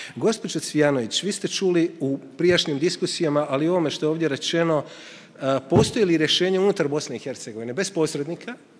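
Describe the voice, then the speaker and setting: A man's fairly high voice at a very fast pace, ordinary pitch variation and hardly any pauses. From Croatia. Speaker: journalist, panel moderator. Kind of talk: panel moderation.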